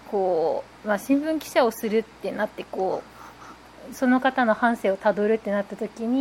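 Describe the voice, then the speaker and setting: At a moderate pace, a woman with a normal speaking voice talks in a fairly high pitch with ordinary pitch variation. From Japan, Nagasaki. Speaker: newspaper reporter. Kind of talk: casual chat.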